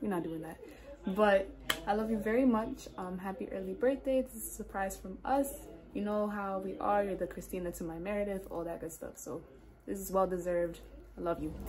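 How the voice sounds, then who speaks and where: Light background noise sits under fairly quick speech with ordinary pitch variation. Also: woman. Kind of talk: casual vlog chat. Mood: warm, affectionate. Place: home room. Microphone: phone near.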